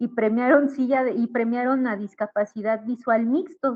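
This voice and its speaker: This woman talks fairly slowly, her fairly high voice moving in pitch in a normal way. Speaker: visually impaired runner and feminist activist. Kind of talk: panel discussion.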